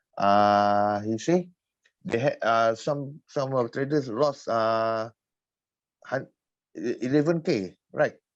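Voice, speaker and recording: Against a quiet background, a man speaks at a very slow pace with medium pitch, ordinary pitch variation and long, frequent pauses. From Malaysia. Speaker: forex trader. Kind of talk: casual chat. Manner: halting.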